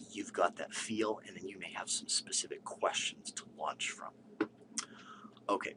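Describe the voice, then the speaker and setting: A man whispers. Long, frequent pauses break up his words. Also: moderate pace. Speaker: statistics instructor. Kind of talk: tutorial.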